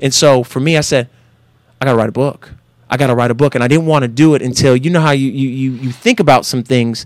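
A man with an American accent talks very fast at a medium pitch, his intonation fairly even. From Northern California. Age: 30s. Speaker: former football player and motivational speaker. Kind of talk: casual interview.

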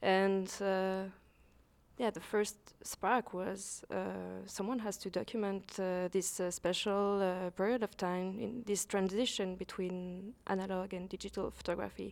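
A woman speaks fairly slowly at a medium pitch in a monotone, flat intonation, on a very clean recording with a silent background. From Switzerland, Lausanne. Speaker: photographer and photography teacher. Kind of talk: interview. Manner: halting, many fillers.

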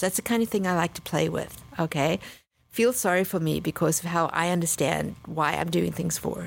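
A woman's fairly low voice with vocal fry, at a fairly quick pace, in a very clean recording with a silent background. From South Africa (East London). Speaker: actor. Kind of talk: casual interview.

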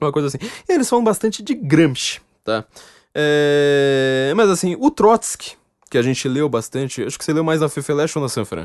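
Speaking at a moderate pace, a man with a fairly high pitch uses lively intonation and an animated tone. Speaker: podcast host. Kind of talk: casual chat.

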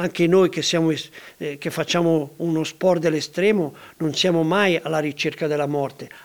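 Speaking at a moderate pace, a man holds a monotone, flat intonation. His pitch is fairly high. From Ticino, Switzerland. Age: 70s. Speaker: mountaineer. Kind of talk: interview.

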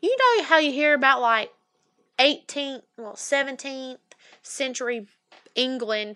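A woman speaks fairly slowly in a raised, projected voice, high and bright with a sharp tone, using ordinary pitch variation, big swings in loudness and long, frequent pauses. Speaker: podcast co-host. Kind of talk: casual chat. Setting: studio.

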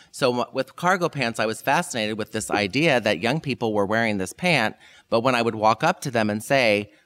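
A man with a plain, everyday voice, medium pitch and lively intonation at a fairly quick pace, on a very clean recording with a silent background and a dry, close sound with no echo. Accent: American. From US Midwest (Kansas, then Indiana). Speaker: fashion professor. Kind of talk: interview.

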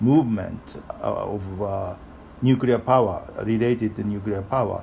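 A man with a Japanese accent talks at a fairly slow pace. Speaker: author and activist. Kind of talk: interview. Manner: halting.

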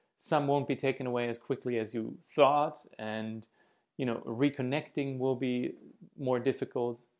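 A man with a normal speaking voice talks at a moderate pace and medium pitch. His pitch variation is ordinary. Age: 30s. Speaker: missionary preacher. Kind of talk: sermon. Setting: video from home living room.

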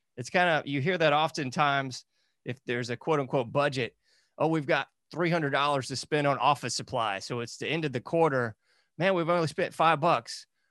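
A man speaks in a normal speaking voice, fairly high in pitch with ordinary pitch variation, at a fairly quick pace. The sound is dry and close with no echo, over a quiet background. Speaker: podcast host and researcher. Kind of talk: casual interview conversation.

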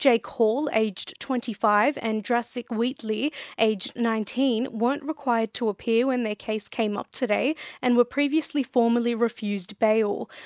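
A woman with a fairly high pitch speaks at a fairly slow pace with fairly even intonation. The sound is dry and close with no echo, and the background quiet. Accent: Australian. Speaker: radio newsreader. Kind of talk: regional radio news bulletin reading. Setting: studio. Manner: crisp, measured, even-paced newsreader delivery.

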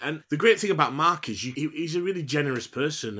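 Bright and sharp in tone, a man with a Yorkshire accent speaks at a fairly quick pace with ordinary pitch variation in a very clean recording with a silent background. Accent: broad Yorkshire. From Huddersfield, Yorkshire. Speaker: actor. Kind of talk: casual interview chat.

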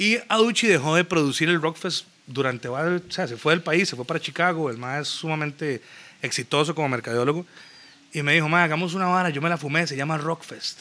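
A man with a fairly high pitch talks fairly quickly in an ordinary speaking voice, his pitch varying an ordinary amount. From Costa Rica, San José (Zapote area). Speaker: music promoter and businessman. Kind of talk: casual chat.

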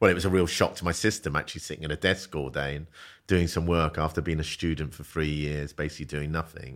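A man with a London accent speaks at a very fast pace in a very deep, low pitch, with vocal fry and fairly even intonation. The recording is very clean, with a silent background. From South London. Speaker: business founder and CEO. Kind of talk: casual interview.

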